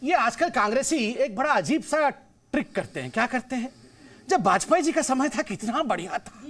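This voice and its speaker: A man's extremely high-pitched voice, animated in tone, with lively intonation and big swings in loudness. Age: 40s. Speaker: political spokesperson. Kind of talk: heated debate. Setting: public debate with audience.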